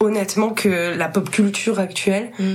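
A woman's medium-pitched voice at a very slow pace, with fairly even intonation and noticeable background noise. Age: 20s. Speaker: musician. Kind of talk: casual chat.

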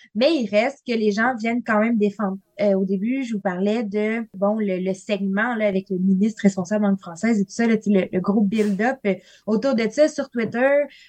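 A woman with a fairly high pitch talks at a moderate pace in a somewhat breathy voice with fairly even intonation, recorded with a dry, close sound and no echo. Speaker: linguistics graduate student. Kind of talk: podcast interview. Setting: studio.

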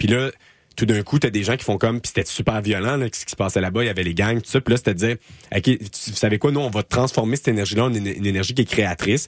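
Rushing at a very fast pace, a man speaks at a fairly low pitch with ordinary pitch variation, with a dry, close sound with no echo. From Quebec, Laval. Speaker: community radio host, master's graduate. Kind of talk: casual interview. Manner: halting, many fillers.

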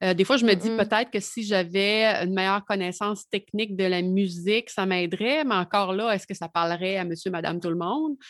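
Fairly quick speech with hardly any pauses, ordinary pitch variation and a quiet background. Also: woman, medium pitch for a woman. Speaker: music journalist. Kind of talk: casual chat.

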